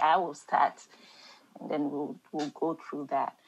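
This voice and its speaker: This is a woman speaking. She has an African accent. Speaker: Bible study leader. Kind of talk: group Bible study discussion.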